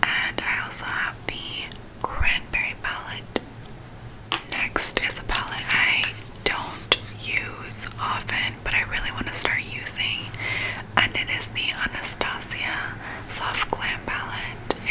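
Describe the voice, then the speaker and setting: A woman whispers at a very slow pace with long, frequent pauses. Noticeable background noise sits behind her. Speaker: beauty and ASMR content creator. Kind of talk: casual talk to camera. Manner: whispered.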